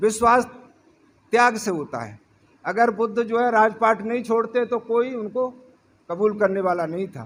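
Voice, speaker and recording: A man speaks in a high pitch with fairly even intonation. His speech has long, frequent pauses. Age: 70s. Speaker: politician. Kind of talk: political speech.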